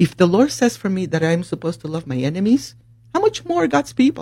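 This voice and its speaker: A woman's somewhat breathy, fairly low voice with a Spanish accent and very wide pitch swings. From Puerto Rico. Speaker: nurse. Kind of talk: casual chat.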